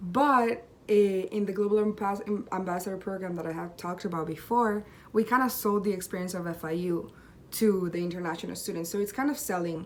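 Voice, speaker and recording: A woman with a Spanish accent, medium pitch and fairly quick pace, over noticeable background noise. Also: ordinary pitch variation. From Colombia. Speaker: university student. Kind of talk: self-presentation video.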